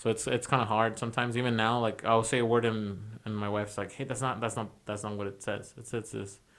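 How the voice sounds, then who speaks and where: A man mumbling at a very fast pace, medium in pitch, with monotone, flat intonation. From Mexico and US, split childhood. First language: Spanish. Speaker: podcast co-host. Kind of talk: casual chat. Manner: halting, some mumbling.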